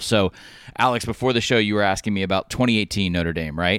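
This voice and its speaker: With an American accent, an unremarkable speaking voice shows ordinary pitch variation. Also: man. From US South. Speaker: college football writer. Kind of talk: casual chat.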